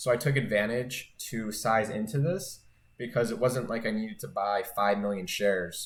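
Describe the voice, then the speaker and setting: The speaker is a man with medium pitch. His pitch variation is ordinary. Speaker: day trader and YouTuber. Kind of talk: monthly trading recap video. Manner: fast; casual, filler-heavy.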